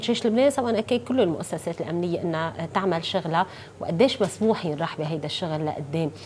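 A woman's speech, with normal rises and falls in pitch, proceeds at an even, middling speed while faint noise hums behind it. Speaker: TV talk show host. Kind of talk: interview introduction. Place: studio. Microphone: lapel.

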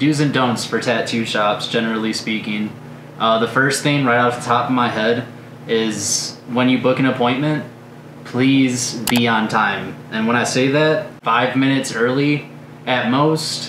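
A man speaks at a fairly slow pace with fairly even intonation. Noticeable background noise runs behind him. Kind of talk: advice talk to camera. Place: studio.

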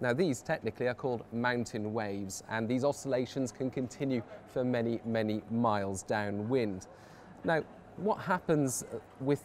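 A man talks at a moderate pace with ordinary pitch variation over light background noise. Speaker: presenter. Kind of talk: explainer to camera. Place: cafe.

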